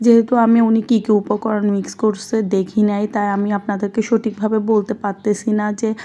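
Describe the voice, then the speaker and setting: Fairly high for a woman, her voice has a dark, mellow tone and monotone, flat intonation. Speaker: vlogger. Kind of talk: vlog voice-over narration.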